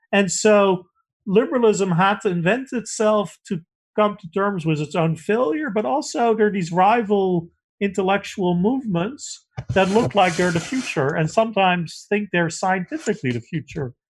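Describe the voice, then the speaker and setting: A man talks at a moderate pace in a high pitch. His intonation is lively. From Netherlands. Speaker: political science professor. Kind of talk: interview.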